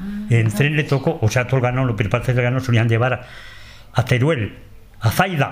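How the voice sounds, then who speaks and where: A man's somewhat breathy voice at a medium pitch, with ordinary pitch variation and a moderate pace. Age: old. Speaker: transhumant shepherd. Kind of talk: interview. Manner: halting.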